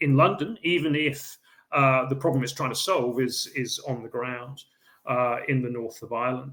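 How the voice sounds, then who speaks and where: A man with an English accent speaks at a fairly high pitch. His moderate-paced voice is somewhat breathy. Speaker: historian. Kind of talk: lecture. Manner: hesitant, many fillers.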